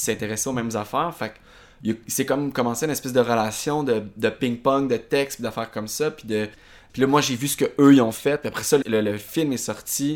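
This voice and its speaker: A man speaks in an unremarkable speaking voice with fairly even intonation. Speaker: stage actor. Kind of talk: casual interview.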